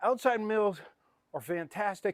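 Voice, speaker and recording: The voice shows ordinary pitch variation, recorded dry and close with no echo. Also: man, very clean recording, silent background. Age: 60s. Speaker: fitness trainer. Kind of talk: follow-along workout instruction. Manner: animated.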